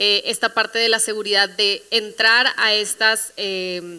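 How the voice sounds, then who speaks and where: A woman speaks with a northern Mexican accent at a medium pitch. Her tone is bright and sharp. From northern Mexico, Monterrey. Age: 20s. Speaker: creative agency CEO, panelist. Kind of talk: panel discussion.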